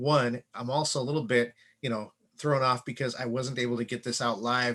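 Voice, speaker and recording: A man's bright, sharp voice at a medium pitch, flat and monotone in intonation, at a fairly quick pace against a quiet background. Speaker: real estate agent. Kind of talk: casual vlog talk to camera. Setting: unfinished home office recording. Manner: fast; hesitant, many fillers.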